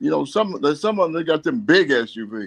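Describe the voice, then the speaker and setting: A man with vocal fry and very wide pitch swings, recorded with dry, close sound, no echo and a quiet background. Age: 60s. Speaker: community activist and former navy officer. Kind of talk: radio interview, personal story. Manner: halting, many fillers and repeats; animated, emotional.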